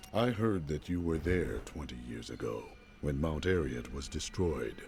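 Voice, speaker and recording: A man uses a put-on character voice. Clear background noise can be heard. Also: moderate pace. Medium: video game. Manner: terse, solemn.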